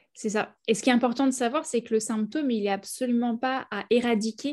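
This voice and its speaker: An unremarkable speaking voice, a woman's, runs fairly high in pitch at a fairly quick pace, with fairly even intonation and a quiet background. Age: 30s. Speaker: naturopath. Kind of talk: interview.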